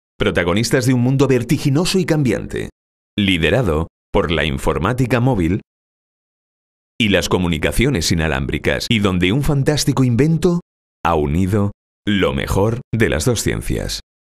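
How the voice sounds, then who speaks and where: Over a quiet background, the speaker talks at a moderate pace with vocal fry, very wide pitch swings and very even loudness. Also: man, fairly low pitch for a man. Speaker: professional voice-over announcer. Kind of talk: corporate narration. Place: studio.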